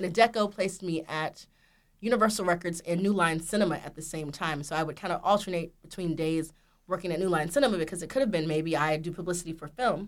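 Speaking at a very fast pace with an American accent, a woman uses a fairly low pitch and ordinary pitch variation. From US South, Georgia. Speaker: record label executive. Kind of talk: interview.

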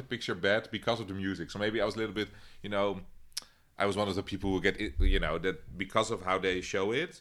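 A man speaks very fast with a Dutch accent. His tone is bright and sharp, and his pitch is fairly low. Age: 30s. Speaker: podcast co-host. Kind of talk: casual chat.

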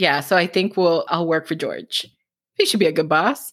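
A woman with a Cuban American accent at a fairly quick pace. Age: 30s. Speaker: romance author. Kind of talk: casual interview. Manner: fast talker.

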